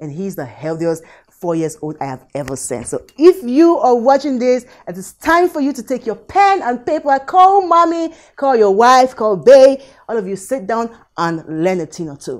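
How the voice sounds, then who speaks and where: The background is quiet. Loudness swings widely throughout. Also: woman, moderate pace. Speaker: show host. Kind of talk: tutorial. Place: kitchen.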